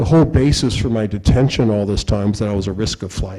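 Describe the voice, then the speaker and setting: The voice has a dark, mellow tone and an American accent, moving at a fairly quick pace. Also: man. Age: 60s. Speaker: lawyer and invited speaker. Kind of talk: talk to law students. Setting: law school lecture room with audience. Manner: casual, conversational with repeated fillers.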